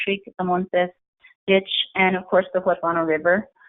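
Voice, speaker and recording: The woman talks in a Spanish accent, her pitch at a medium level. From San Luis Valley, southern Colorado. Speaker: environmental advocate. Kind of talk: webinar presentation. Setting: online webinar. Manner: halting, many fillers.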